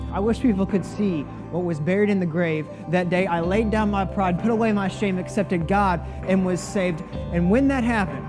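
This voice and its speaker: Music in the background behind a high-pitched man at a fairly quick pace, with very even loudness and ordinary pitch variation. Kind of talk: spoken word poetry with a religious message. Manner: rhythmic, rhyming, impassioned delivery.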